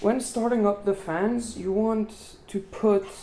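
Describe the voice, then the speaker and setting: Very slowly, a woman speaks with a non-native accent. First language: not English. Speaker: tech tutorial youtuber. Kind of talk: tutorial. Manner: halting.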